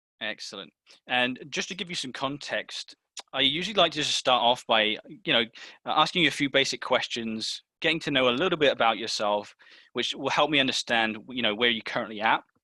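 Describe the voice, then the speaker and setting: In a British accent, a man of medium pitch speaks at a fairly quick pace with a bright, sharp tone and ordinary pitch variation, on a very clean recording with a silent background and a dry, close sound with no echo. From UK. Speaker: sales trainer role-playing a sales closer. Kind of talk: role-play sales call.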